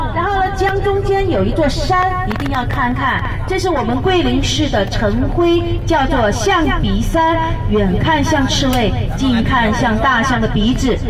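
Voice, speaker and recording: Fairly slow pace from a woman against loud background noise. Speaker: tour guide. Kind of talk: tour guide commentary on a bus. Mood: humorous, lively. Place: bus.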